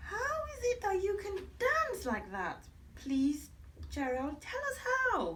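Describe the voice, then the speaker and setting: A woman speaks at a fairly slow pace in a put-on character voice with an extremely high pitch, and clear background noise is present. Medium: read story.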